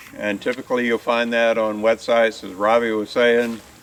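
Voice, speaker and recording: A man with an American accent at a medium pitch and moderate pace, over noticeable background noise. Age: 70s. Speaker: tree farm manager. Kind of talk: outdoor field talk. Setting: outdoors on a tree farm tour.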